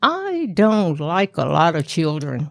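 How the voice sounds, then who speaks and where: On a very clean recording with a silent background, a woman speaks very slowly in a Southern US accent. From US South, rural Tennessee. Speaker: grandmother telling her life story. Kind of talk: storytelling interview.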